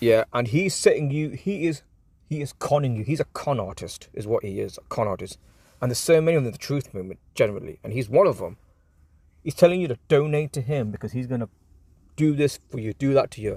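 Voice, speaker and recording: Very fast and somewhat breathy, a man's speech has lively intonation and big swings in loudness. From England. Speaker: political commentator. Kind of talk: casual commentary. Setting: in a car park. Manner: halting.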